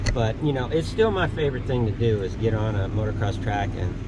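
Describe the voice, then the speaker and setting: A man with a fairly low pitch talks at a fairly quick pace, with audible room echo and noticeable background noise. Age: 60s. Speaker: motocross instructor. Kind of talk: casual chat.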